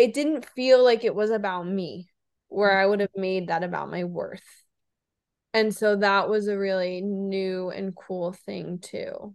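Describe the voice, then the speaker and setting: A woman with an ordinary speaking voice talks fairly slowly at medium pitch and with fairly even intonation, against a quiet background. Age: 30s. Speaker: podcast co-host. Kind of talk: casual chat.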